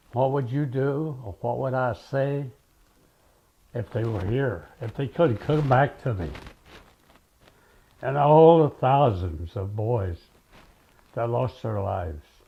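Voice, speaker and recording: Speaking at a very slow pace with long, frequent pauses, a man uses a dark, mellow tone, medium pitch and lively intonation, sounding somewhat breathy. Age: 90s. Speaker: WWII veteran. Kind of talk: interview.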